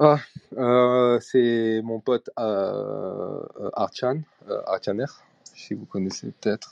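Long, frequent pauses mark this man's delivery. His pace is very slow. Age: 30s. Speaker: digital artist. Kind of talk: interview. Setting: live audio chat room.

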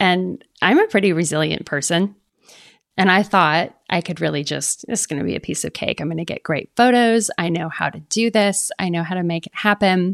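A woman speaks in a plain, everyday voice at a medium pitch and moderate pace. Her pitch varies in an ordinary way, and the sound is dry and close with no echo. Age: 50s. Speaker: photographer. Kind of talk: interview.

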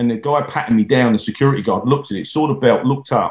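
At a very fast pace, a man speaks in a somewhat breathy, medium-pitched voice. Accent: English. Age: 50s. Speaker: stuntman. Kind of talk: interview.

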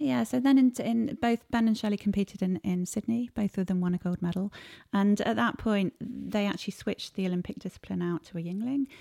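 In a very clean recording with a silent background and a dry, close sound with no echo, a woman with a dark, mellow tone talks at a fairly quick pace with ordinary pitch variation. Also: medium pitch for a woman. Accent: southern English. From England, Cambridgeshire. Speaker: sports marketing executive and sailor. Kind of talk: interview.

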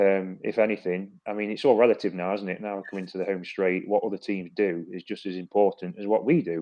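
An ordinary speaking voice from a man, fairly low-pitched, at a fairly quick pace with hardly any pauses and fairly even intonation. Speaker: football pundit. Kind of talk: casual panel chat.

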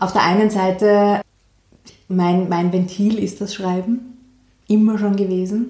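A woman speaks in a monotone, flat way. Her tone is dark and mellow, and somewhat breathy. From Austria, Vienna. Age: 30s. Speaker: environmental activist and author. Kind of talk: interview.

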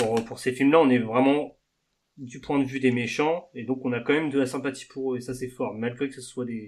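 At a moderate pace, a man speaks in a monotone, flat intonation with big swings in loudness. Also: medium pitch for a man. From Normandy, France. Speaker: podcast host. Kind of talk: casual chat.

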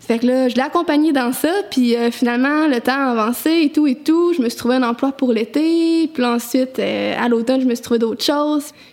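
There is noticeable background noise as a woman speaks at a high pitch. She leaves hardly any pauses. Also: ordinary pitch variation, moderate pace. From Quebec, Quebec City area. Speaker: recent graduate. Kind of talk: casual interview.

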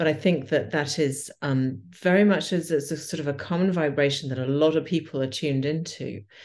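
With a British accent, a woman speaks at a very deep, low pitch and a fairly quick pace, with fairly even intonation and hardly any pauses. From England. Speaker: podcast host, yoga teacher. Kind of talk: casual interview. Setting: remote call.

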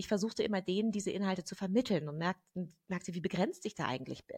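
Vocal fry and ordinary pitch variation, with a dry, close sound with no echo and a quiet background. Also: woman. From Germany. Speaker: gender researcher and activist. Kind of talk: interview conversation.

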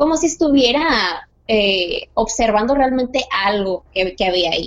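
A woman speaks at a moderate pace in an unremarkable speaking voice, her pitch fairly high with ordinary variation. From Mexico, Sonora. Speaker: guest sharing paranormal experiences. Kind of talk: personal story telling.

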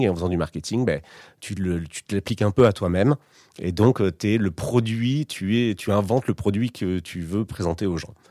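At a fairly quick pace and with ordinary pitch variation, the voice comes through dry and close with no echo on a very clean recording with a silent background. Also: man. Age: 30s. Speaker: former advertising professional. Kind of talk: personal testimony. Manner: halting, many fillers and repetitions.

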